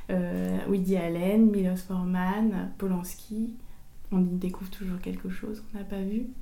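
A woman speaks at a medium pitch in a monotone, flat way and at a fairly slow pace. Room echo is audible, and background noise is noticeable. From Paris suburbs, France. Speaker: author and screenwriter. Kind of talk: interview. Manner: halting, many repetitions and fillers.

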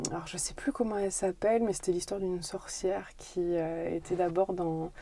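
Her voice is fairly low in pitch, and this woman's tone is dark and mellow. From France, Corrèze (Brive). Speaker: interior architect. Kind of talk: interview.

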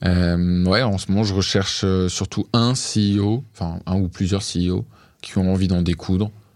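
In a very clean recording with a silent background, a man with a very deep, low pitch talks at a very slow pace with fairly even intonation and very even loudness. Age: 20s. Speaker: entrepreneur. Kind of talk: interview. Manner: hesitant, many fillers.

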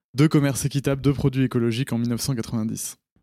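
On a very clean recording with a silent background, a man talks at a moderate pace in a medium pitch, his dark, mellow tone held in a monotone, flat intonation. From France, Paris. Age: 30s. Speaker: fair trade entrepreneur, geographer. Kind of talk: interview.

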